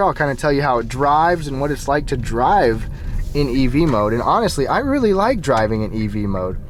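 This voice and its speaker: Noticeable background noise under a man's moderately paced speech. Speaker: car reviewer. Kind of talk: test drive review. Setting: in a car.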